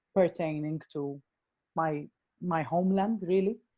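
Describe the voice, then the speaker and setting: In a Maltese accent, a woman speaks at a fairly low pitch with a dark, mellow tone. Her pace is fairly slow. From Malta. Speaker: actor, writer and director. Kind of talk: interview. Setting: podcast. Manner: halting, many fillers.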